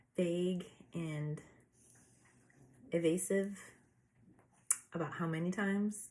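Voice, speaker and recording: On a very clean recording with a silent background, a woman with an American accent speaks very slowly in a calm, relaxed tone, her medium pitch showing ordinary variation. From United States. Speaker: lifestyle vlogger. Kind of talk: casual chat. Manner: frequent fillers, meandering.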